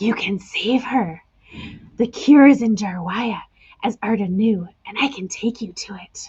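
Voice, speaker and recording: A woman's put-on character voice, croaky and fairly high in pitch, at a moderate pace. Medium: read story. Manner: blunt, persuasive.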